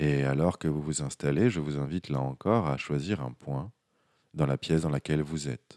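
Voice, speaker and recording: Soft-spoken and calm in tone, a man speaks in a very deep, low, dark and mellow voice, in a dry, close sound with no echo. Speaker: hypnotherapist. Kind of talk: guided hypnosis. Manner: soft, calm; slow.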